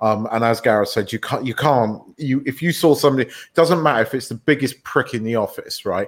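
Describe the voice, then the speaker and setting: With an unremarkable speaking voice, a man talks at a fairly quick pace with hardly any pauses, medium pitch and ordinary pitch variation. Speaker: podcast co-host. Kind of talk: casual banter podcast chat.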